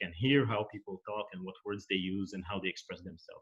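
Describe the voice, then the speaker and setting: A man with fairly low pitch and ordinary pitch variation speaks at a very fast pace. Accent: non-native. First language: not English. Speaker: management scholar, workshop panelist. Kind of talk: academic presentation. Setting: recorded virtual conference session. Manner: hesitant, many fillers and repeats.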